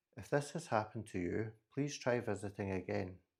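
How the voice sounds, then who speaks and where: Somewhat breathy and fairly low in pitch, a man with a Scottish accent talks at a fairly quick pace with ordinary pitch variation. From Scotland. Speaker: podcast host. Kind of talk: solo podcast monologue.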